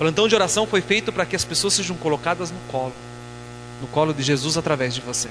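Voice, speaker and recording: Music plays in the background as a man talks at a very fast pace. His fairly high voice has lively intonation. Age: 30s. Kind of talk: sermon.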